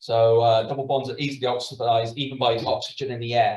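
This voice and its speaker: A man speaks here. His voice is somewhat breathy. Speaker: biochemistry lecturer. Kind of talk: lecture. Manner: fast; halting, many fillers.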